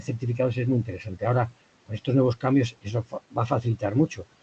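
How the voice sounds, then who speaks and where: A very fast, somewhat breathy man's voice, medium in pitch and dark and mellow in tone, with fairly even intonation. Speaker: trade consultant on Japanese wine market. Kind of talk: webinar presentation.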